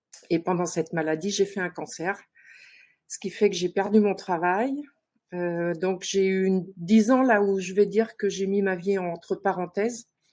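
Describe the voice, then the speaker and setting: At a fairly slow pace, a woman talks with fairly even intonation at a medium pitch. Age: 60s. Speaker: participant seeking love advice. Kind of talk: personal testimony on a talk show. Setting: online live show. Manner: hesitant, many fillers.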